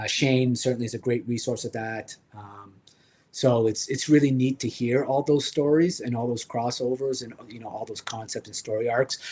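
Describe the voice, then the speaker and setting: At a moderate pace, a man speaks in a medium pitch with fairly even intonation and big swings in loudness. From French Canada. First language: French. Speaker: toy collector livestream host. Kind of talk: casual livestream chat. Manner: hesitant, many fillers.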